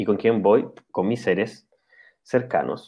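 The man speaks at a fairly slow pace and a medium pitch. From Chile, central region. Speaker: spiritual channeler. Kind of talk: interview.

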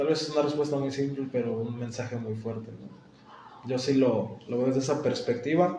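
A man talks at a moderate pace and a medium pitch, with fairly even intonation and hardly any pauses. Noticeable background noise and audible room echo fill the recording. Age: 20s. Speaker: podcast host and sports science student. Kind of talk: casual interview.

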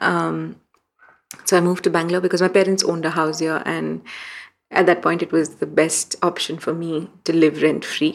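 A woman talks at a moderate pace with fairly low pitch, fairly even intonation and vocal fry. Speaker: journalist. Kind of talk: interview.

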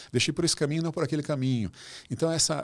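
A man is speaking. His tone is animated. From Brazil. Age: 60s. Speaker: author and former executive. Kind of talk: casual interview conversation.

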